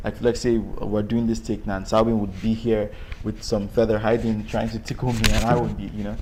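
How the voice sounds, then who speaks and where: This man has a Nigerian accent. He talks at a fairly quick pace. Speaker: actor. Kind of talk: interview. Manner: hesitant, many fillers.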